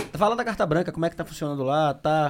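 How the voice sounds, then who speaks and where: Using an unremarkable speaking voice, a man talks at a fairly high pitch with lively intonation. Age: 40s. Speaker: podcast host. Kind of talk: casual interview chat. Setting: studio live stream.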